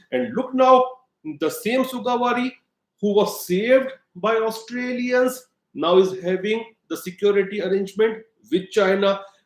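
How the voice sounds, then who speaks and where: This voice carries an Indian accent and lively intonation. Long, frequent pauses break up the speech. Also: man. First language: Hindi. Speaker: political commentator. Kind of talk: opinion monologue to camera. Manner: halting, many fillers; emphatic.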